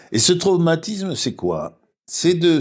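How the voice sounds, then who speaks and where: The voice belongs to a man. It's a very clean recording, and the background is silent. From southern France (Toulouse), then Paris from age 12. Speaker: philosopher and spiritual speaker. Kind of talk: reflective interview conversation. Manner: halting, with frequent false starts.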